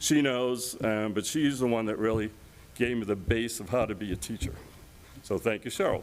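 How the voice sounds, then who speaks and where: A man talks at a moderate pace with ordinary pitch variation. His voice sits at a medium pitch. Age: 60s. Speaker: retiring math teacher and coach. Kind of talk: heartfelt farewell speech. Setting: school committee meeting. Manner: unscripted, halting.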